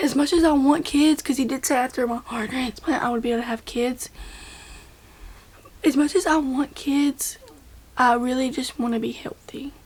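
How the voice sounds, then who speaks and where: A woman speaks in a high pitch at a moderate pace, leaving long, frequent pauses. Noticeable background noise is present. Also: ordinary pitch variation. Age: 20s. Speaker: vlogger, heart patient. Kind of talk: casual vlog talk. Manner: casual, repetitive.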